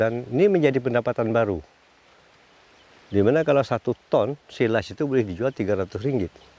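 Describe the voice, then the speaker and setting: A man at a fairly quick pace with lively intonation, in a dry, close sound with no echo. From Malaysia, Kuala Selangor. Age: 60s. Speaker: farmer and livestock breeder. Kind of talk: interview-style testimony.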